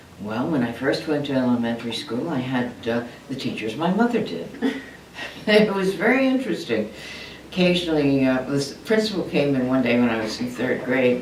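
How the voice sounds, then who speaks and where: Speaking at a moderate pace with an American accent, a woman uses a very deep, low pitch with very wide swings, amid noticeable background noise and audible room echo. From US, Maryland Eastern Shore. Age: 80s+. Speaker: retired nurse consultant. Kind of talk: oral history interview. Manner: halting.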